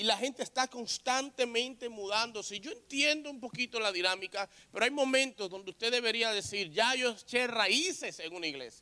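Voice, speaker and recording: Raised and projected, a man's voice rings out with a bright, sharp tone at an extremely high pitch, keeping a moderate pace with hardly any pauses and ordinary pitch variation. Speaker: pastor. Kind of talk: sermon.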